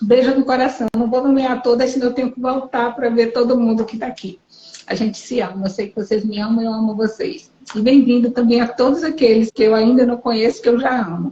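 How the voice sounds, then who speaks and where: A soft-spoken woman talks at a fairly quick pace with fairly even intonation. Her pitch is high, and there is noticeable background noise. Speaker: spiritual channel. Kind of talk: live stream interview. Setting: live video stream.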